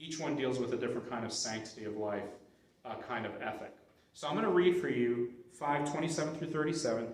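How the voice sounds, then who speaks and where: A man talks at a fairly quick pace with ordinary pitch variation. Noticeable background noise and audible room echo surround his voice. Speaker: Bible study teacher. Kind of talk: Bible study lecture. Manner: fast.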